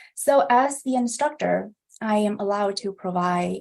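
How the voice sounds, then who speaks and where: With ordinary pitch variation, a woman speaks at a medium pitch. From Vietnam, moved to US as a child. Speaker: instructor. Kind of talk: online class instruction. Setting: livestream. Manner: hesitant fillers (um, uh).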